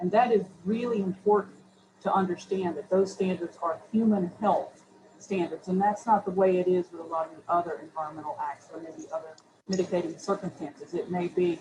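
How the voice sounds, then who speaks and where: At a fairly quick pace, a woman speaks in a medium pitch with ordinary pitch variation. Her loudness swings widely. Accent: Southern US. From US Southeast (Chattanooga, Tennessee). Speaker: city environmental official, panelist. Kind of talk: panel discussion. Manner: hesitant, repeats words.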